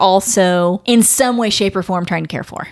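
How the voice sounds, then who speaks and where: With an American accent, a woman speaks in an animated tone with ordinary pitch variation. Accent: Midwest, comes out occasionally. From US Midwest, Ohio. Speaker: podcast host. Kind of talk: casual chat.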